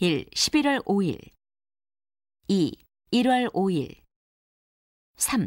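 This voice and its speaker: A woman of medium pitch speaks with very wide swings in her voice, the sound dry and close with no echo. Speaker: narrator of listening test questions. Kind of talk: scripted narration.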